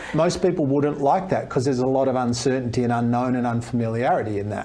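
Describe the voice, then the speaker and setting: Very fast and with an Australian accent, a man speaks at a medium pitch with ordinary pitch variation, amid noticeable background noise and audible room echo. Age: 60s. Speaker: fitness expert and speaker. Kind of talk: podcast interview.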